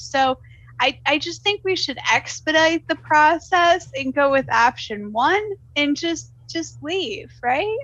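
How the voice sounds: Lively intonation carries a woman's high-pitched voice, fairly bright in tone. She speaks at a slow pace.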